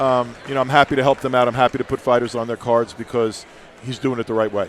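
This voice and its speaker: Very fast, flat, monotone delivery from a man with an American accent, over noticeable background noise. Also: medium pitch for a man. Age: 60s. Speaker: boxing promoter and guest commentator. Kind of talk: live commentary. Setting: arena with crowd.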